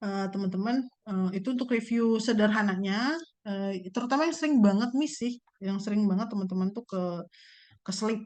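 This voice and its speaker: The woman talks fairly quickly in a fairly high voice, with pitch shifting an ordinary amount. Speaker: university lecturer. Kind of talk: lecture. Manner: fast; casual.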